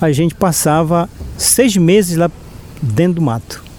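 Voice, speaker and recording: Noticeable background noise runs under the clip. A man talks at a fairly slow pace with ordinary pitch variation. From Brazilian Amazon, Arapiuns river, Pará. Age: 60s. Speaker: community leader. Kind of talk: storytelling. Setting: recorded podcast interview.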